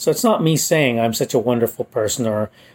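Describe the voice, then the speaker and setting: A man talks at a medium pitch. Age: 50s. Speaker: podcast host. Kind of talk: solo commentary monologue. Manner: halting, with fillers and pauses.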